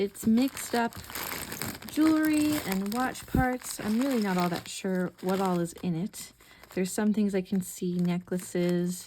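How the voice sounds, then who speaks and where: Soft-spoken and fairly slow, a woman at medium pitch uses a calm, soothing tone and lively intonation over noticeable background noise. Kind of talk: ASMR-style casual talk to camera, sorting and showing items. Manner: soft, calm, soothing.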